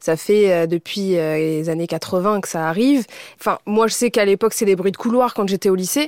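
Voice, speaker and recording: A woman with an ordinary speaking voice talks at a moderate pace in a medium pitch on a very clean recording with a silent background. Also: ordinary pitch variation, dry, close sound with no echo. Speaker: content creator. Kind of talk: casual panel discussion.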